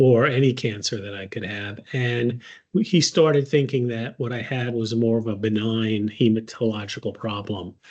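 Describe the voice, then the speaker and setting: Big swings in loudness mark this man's medium-pitched voice. He talks at a moderate pace with fairly even intonation against a quiet background. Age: 60s. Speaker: patient advocate. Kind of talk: personal testimony. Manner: hesitant, many filler words.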